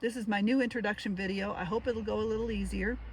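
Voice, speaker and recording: With fairly even intonation, a woman talks at a medium pitch. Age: 60s. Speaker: retired solo van traveler, vlogger. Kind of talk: casual vlog talk to camera. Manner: halting, with fillers.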